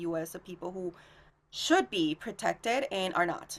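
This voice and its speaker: This woman talks with a Minnesota accent. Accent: Minnesotan American. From Minnesota (born in Mexico, moved to US at ten). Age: 30s. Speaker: immigrant advocate. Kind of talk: podcast interview. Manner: frequent fillers, some stumbling.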